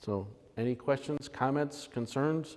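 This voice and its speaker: A man with a fairly high voice speaks with fairly even intonation. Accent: American. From Upstate New York. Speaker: amateur radio presenter. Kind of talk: presentation. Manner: halting.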